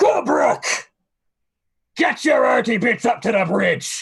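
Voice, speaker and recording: A man's raspy, high-pitched, put-on character voice at a fairly slow pace. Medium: actual play. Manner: loud, gruff orc delivery.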